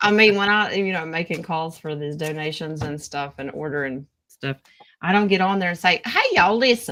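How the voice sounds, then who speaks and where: A woman with an American accent talks at a fairly quick pace, her pitch fairly low with ordinary variation. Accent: thick Southern US accent, esp. in the morning. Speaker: tarot reader. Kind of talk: casual chat with tarot readings.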